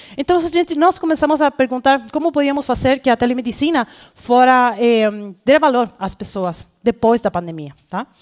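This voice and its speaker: A woman with a Spanish accent, high in pitch and lively in intonation at a moderate pace, the sound dry and close with no echo. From Chile. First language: Spanish (speaking Portuguese). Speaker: conference speaker, healthcare product professional. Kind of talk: conference talk. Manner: halting, many fillers and self-corrections.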